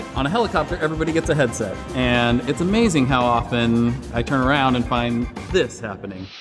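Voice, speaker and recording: Clear music plays in the background as a man speaks at a fairly quick pace with ordinary pitch variation. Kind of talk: interview answer. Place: hall.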